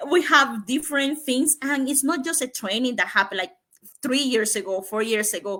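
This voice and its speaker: A woman with a high pitch speaks in a raised, projected voice at a moderate pace, her bright, sharp tone and lively intonation captured in a very clean recording with a silent background. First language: Spanish. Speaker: digital entrepreneur. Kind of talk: interview. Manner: halting.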